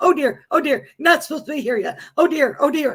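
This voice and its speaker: The voice is a put-on character. Its pitch sits high. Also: fairly quick pace. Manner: flustered, fussing.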